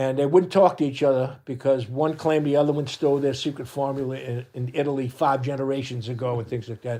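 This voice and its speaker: With a New Orleans accent, a man talks at a fairly quick pace in a fairly high-pitched voice with a dark, mellow tone. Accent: New Orleans Yat dialect. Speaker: parade group co-captain. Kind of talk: casual chat.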